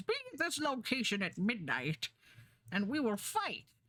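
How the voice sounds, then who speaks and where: A put-on character voice, female-sounding, at a moderate pace. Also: fairly high pitch for a woman. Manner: menacing.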